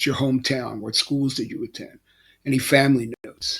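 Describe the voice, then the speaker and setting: Talking at a moderate pace in an American accent, a man keeps his medium pitch monotone and flat. The recording is very clean, with a silent background. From Philadelphia, Pennsylvania. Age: 70s. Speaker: life coach, retired basketball coach. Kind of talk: motivational talk to camera. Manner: casual, hesitant with fillers.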